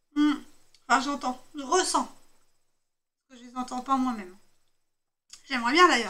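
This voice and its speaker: Raised and projected, a woman's high-pitched voice has a bright, sharp tone, a moderate pace, ordinary pitch variation, big swings in loudness, and long, frequent pauses. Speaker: tarot card reader. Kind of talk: tarot reading. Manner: hesitant with fillers.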